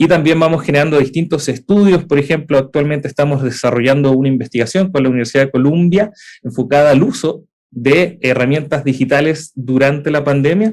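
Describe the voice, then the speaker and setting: A man speaks at a fairly high pitch and a fairly quick pace. His loudness is very even and his pitch variation ordinary. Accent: Chilean. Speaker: edtech startup co-founder and university lecturer. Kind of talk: conference talk. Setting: hybrid event. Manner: frequent filler 'eh' hesitations.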